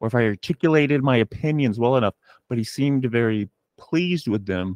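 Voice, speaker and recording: Using an unremarkable speaking voice, a man talks at a fairly quick pace with medium pitch and lively intonation, the sound dry and close with no echo over a quiet background. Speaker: podcast host. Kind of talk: casual interview chat. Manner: rambling, informal.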